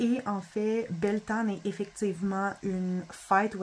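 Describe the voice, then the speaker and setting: Her voice is somewhat breathy and medium in pitch. This woman talks at a very slow pace. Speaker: spiritual content creator, oracle card reader. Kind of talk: casual video review of oracle cards. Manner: halting, with self-corrections.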